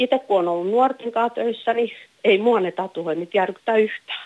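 A woman with an ordinary speaking voice talks at a moderate pace, her pitch fairly high. Her intonation is lively. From Finland, Häme. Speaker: caller. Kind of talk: phone-in discussion.

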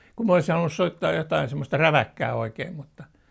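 Vocal fry runs through this man's speech at a very fast pace. His pitch swings very widely. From Finland, Helsinki. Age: 80s+. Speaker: veteran motorsport journalist. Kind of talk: casual reminiscing interview. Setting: fireside room at his home.

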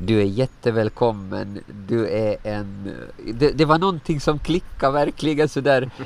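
Using a normal speaking voice, a man talks at a medium pitch and a fairly slow pace with lively intonation. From Åland. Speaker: lay preacher. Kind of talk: interview.

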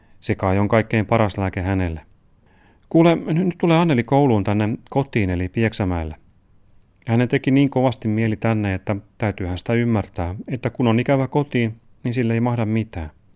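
Speaking at a moderate pace with lively intonation, a man with a medium-pitched voice and a dark, mellow tone is heard in a very clean recording with a silent background and a dry, close sound with no echo. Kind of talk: literary letter reading, father's letter read aloud as a man.

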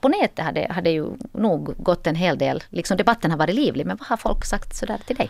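Her voice shows vocal fry and very wide pitch swings as the woman speaks at a fairly quick pace. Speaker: radio host. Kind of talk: radio interview. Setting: radio studio.

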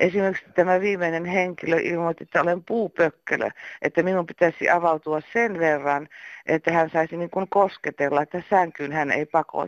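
With an unremarkable speaking voice, a woman talks at a moderate pace in a fairly low pitch and fairly even intonation, the sound dry and close with no echo. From eastern Finland. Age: 60s. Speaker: caller. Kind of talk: voicemail message.

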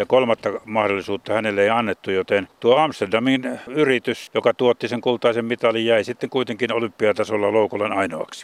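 In a plain, everyday voice, a man talks at a fairly quick pace with a medium pitch and fairly even intonation. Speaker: sports radio presenter. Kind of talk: casual radio chat, documentary presenter. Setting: outdoors at a cemetery.

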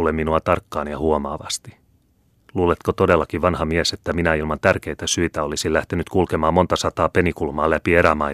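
Monotone, flat delivery at a moderate pace, with a dry, close sound, no echo, and a very clean recording over a silent background. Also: man. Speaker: audiobook narrator. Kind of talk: reading aloud.

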